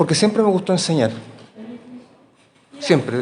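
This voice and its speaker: A man speaks in a Chilean accent with ordinary pitch variation. Audible room echo and noticeable background noise fill the recording. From Chile, Valparaíso. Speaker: professor. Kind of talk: interview. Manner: halting.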